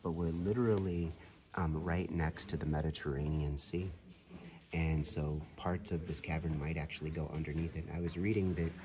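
A man speaks with a very deep, low voice and fairly even intonation. Background noise is noticeable. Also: moderate pace. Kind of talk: reflective casual vlog narration. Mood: calm, contemplative. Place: tunnel cave. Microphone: phone near.

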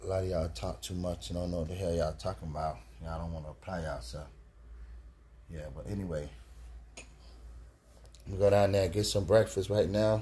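Very fast and very deep, a man's dark, mellow voice carries vocal fry and ordinary pitch variation over light background noise. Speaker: trucker vlogger who trades. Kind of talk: casual vlog chat. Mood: boastful, lecturing, a bit irritated. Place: home room. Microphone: headset.

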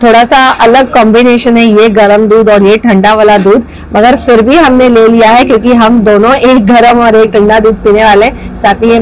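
A woman speaks at a fairly slow pace in a monotone, flat intonation. Her loudness stays very even over light background noise. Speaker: food vlogger. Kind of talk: casual vlog chat. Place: cafe. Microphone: lapel.

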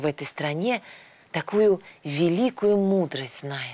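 A woman speaks at a moderate pace in a fairly low pitch. Her tone is slightly mellow, with ordinary pitch variation.

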